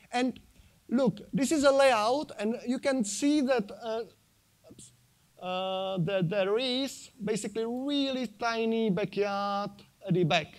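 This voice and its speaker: In a very clean recording with a silent background, a man with a Czech accent speaks at a very slow pace and high pitch, with ordinary pitch variation and big swings in loudness. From Czech Republic. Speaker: sustainable living speaker, design engineer. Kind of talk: conference talk with slides. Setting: stage at convention centre with audience. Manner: halting, many fillers.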